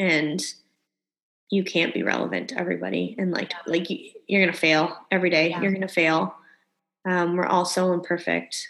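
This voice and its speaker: In an American accent, a woman talks at a very fast pace and a fairly low pitch, with vocal fry and fairly even intonation. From Canada. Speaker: wedding planner and lifestyle blogger. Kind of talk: casual interview chat.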